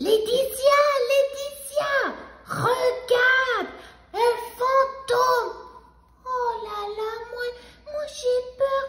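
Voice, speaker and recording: In a cartoonish character voice, a woman speaks at an extremely high pitch and a very slow pace, with long, frequent pauses. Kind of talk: puppet dialogue for children. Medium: puppet.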